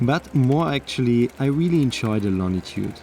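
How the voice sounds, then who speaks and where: A man's voice with lively intonation over noticeable background noise. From Austria. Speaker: travel vlogger, cyclist. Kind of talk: vlog narration. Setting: outdoors on a bike.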